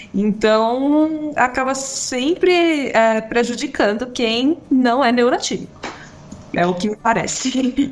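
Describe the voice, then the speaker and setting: There is noticeable background noise as a woman speaks at a very slow pace in a high pitch with ordinary pitch variation. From Brazil, São Paulo. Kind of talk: casual chat.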